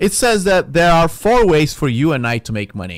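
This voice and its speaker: A man talks with a non-native accent at a moderate pace. His tone is animated, and his pitch swings very widely. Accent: foreign accent in English. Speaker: podcast host. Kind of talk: religious podcast monologue, casual preaching. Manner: casual, conversational, animated.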